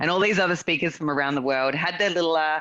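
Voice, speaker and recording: With an Australian accent, a woman speaks at a very deep, low pitch with ordinary pitch variation over a quiet background. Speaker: real estate investor and consultant. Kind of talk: podcast interview.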